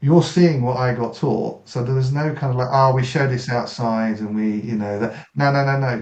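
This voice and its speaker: With hardly any pauses, a man in an English accent keeps his intonation fairly even amid audible room echo. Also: medium pitch for a man, moderate pace. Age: 60s. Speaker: martial artist, army veteran. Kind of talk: interview.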